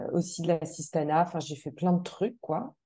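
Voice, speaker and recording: Speaking at a moderate pace, a woman uses a fairly low pitch and a dark, mellow tone. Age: 40s. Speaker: mental performance coach. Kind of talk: interview.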